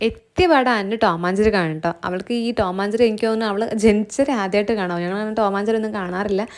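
In a very clean recording with a silent background, a woman speaks at a medium pitch with ordinary pitch variation and an unremarkable speaking voice. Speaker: vlogger. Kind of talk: casual vlog narration.

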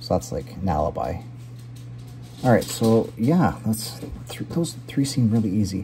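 Faint music plays in the background as a man speaks at a fairly slow pace with long, frequent pauses. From Canada. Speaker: gaming YouTuber playing word puzzles. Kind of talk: live puzzle commentary. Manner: casual, filler-heavy thinking aloud. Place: kitchen. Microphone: phone near.

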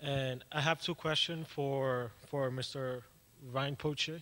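Speaking slowly, a man uses a medium pitch and a fairly bright tone, with fairly even intonation.

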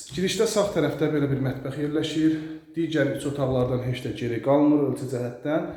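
Noticeable background noise and audible room echo surround a man speaking at a moderate pace. His pitch is fairly high, with ordinary pitch variation. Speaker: real estate agent. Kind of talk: sales pitch.

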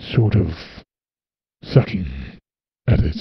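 A man uses a put-on character voice, pitched fairly low. His pitch swings very widely. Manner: storytelling.

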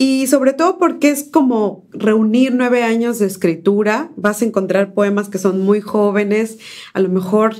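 Fairly slow speech comes from a woman with a fairly high pitch. Her pitch varies in an ordinary way. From Mexico, Córdoba, Veracruz. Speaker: poet and essayist. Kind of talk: poetry reading; interview. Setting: university studio. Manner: halting, frequent fillers.

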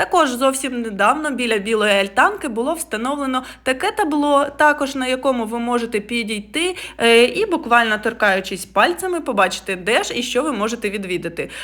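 Lively intonation and an animated tone carry a woman's high-pitched voice at a fairly quick pace. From Ukraine, Poltava. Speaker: travel vlogger. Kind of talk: travel vlog narration.

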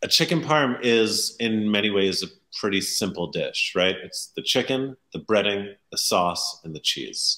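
Lively intonation and a bright, sharp tone mark a man's fairly slow delivery. The background is quiet. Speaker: interview guest. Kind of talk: interview answer. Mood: enthusiastic, warm. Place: home room.

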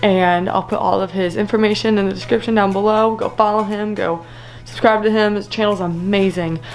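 A woman talks at a moderate pace with ordinary pitch variation. Faint music plays behind her. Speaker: fishing vlogger. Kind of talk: casual vlog chat. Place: home room. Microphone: phone near.

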